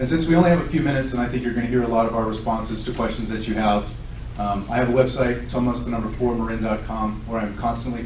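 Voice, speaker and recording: Amid noticeable background noise and audible room echo, a man speaks very fast. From Southern California. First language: Lithuanian. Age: 40s. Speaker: political candidate. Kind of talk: candidate forum speech. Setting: public event with audience.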